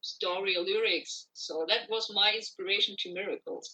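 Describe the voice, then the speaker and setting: A woman with a non-native accent speaks at a moderate pace. Her tone is bright and sharp, and her pitch swings very widely. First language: not English. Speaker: singer-songwriter. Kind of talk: interview.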